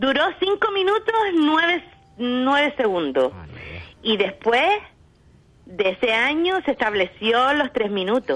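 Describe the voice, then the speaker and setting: A woman at a high pitch and very slow pace, with very wide pitch swings, very even loudness, long, frequent pauses and noticeable background noise. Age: old. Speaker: Eurovision fan. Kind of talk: casual chat.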